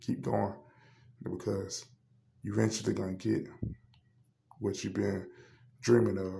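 The room echo is audible. A man speaks at a moderate pace. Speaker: sports podcast host. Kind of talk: solo podcast monologue. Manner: hesitant with frequent fillers.

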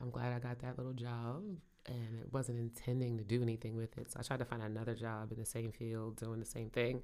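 In a Brooklyn accent, a woman speaks fairly quickly in a very deep, low, dark and mellow voice with flat, monotone intonation. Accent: New York (Brooklyn). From Brooklyn, New York. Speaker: podcast co-host, small business owner. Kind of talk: casual chat. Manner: laughs often.

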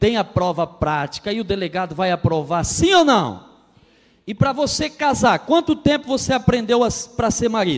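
Very wide pitch swings mark a man's high voice as he talks at a moderate pace. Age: 30s. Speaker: pastor and marriage counselor. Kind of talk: sermon. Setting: church.

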